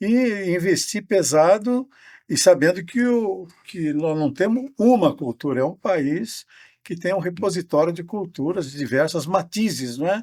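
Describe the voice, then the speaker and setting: On a very clean recording with a silent background, a man talks in a high pitch at a fairly slow pace. His intonation is lively. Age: 80s+. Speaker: professor. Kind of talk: casual chat.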